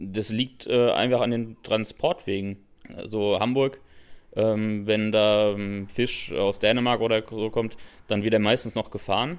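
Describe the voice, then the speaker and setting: Speaking at a very slow pace, a man with a fairly low pitch keeps his intonation fairly even, and the recording is very clean with a silent background. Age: 20s. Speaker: chef and restaurant owner. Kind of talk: interview. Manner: hesitant with many fillers.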